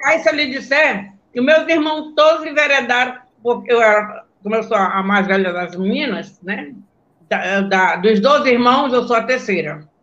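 A woman's high-pitched voice with lively intonation, a fairly slow pace and audible room echo. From Brazil, Belém do Pará. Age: 70s. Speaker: former women's football player. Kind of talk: interview on live stream.

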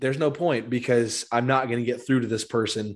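A man speaks at a medium pitch. He has an ordinary speaking voice. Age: 20s. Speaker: podcast host. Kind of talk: casual chat. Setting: call.

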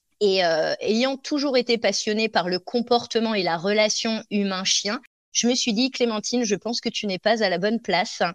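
A woman with a plain, everyday voice and a fairly high pitch talks at a moderate pace with ordinary pitch variation, recorded dry and close with no echo. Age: 30s. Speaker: dog trainer and business coach. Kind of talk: interview.

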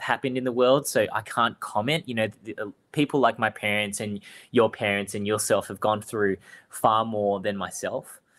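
With an Australian accent, a man speaks at a fairly low pitch and moderate pace with ordinary pitch variation, on a very clean recording with a silent background. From Australia, Melbourne (Springvale). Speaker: fruiterer and cooking show contestant. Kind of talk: interview.

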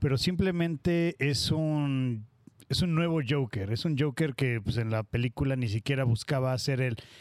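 A man with a plain, everyday voice talks at a medium pitch and moderate pace with ordinary pitch variation, and the sound is dry and close with no echo. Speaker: podcast host. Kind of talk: casual chat.

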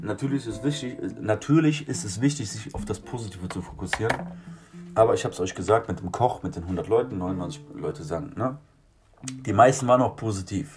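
A man at a medium pitch talks fairly quickly with lively intonation and big swings in loudness, over noticeable background noise. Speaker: street musician. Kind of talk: casual monologue. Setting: garden shed. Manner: animated.

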